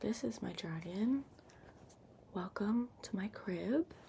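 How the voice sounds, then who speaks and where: A woman whispers, soft-spoken and somewhat breathy. Her pace is very slow. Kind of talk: ASMR ramble. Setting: laptop microphone, lo-fi. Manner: soft-spoken, whispered.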